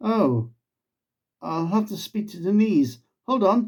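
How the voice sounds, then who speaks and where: Putting on a character voice, a man speaks fairly slowly in a strained, high pitch with lively intonation. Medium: read story.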